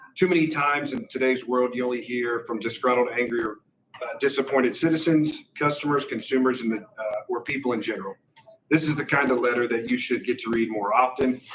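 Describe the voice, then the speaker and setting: Talking at a fairly quick pace, a man with an ordinary speaking voice holds a medium pitch. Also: ordinary pitch variation. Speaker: public commenter reading a letter. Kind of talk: reading aloud. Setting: school board meeting.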